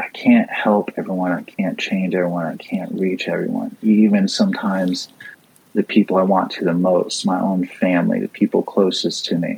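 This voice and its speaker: Noticeable background noise behind a man's moderately paced speech in an American accent. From US, Florida (St. Petersburg). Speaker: skateboarder, motivational speaker and author. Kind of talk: casual interview. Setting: remote call from home.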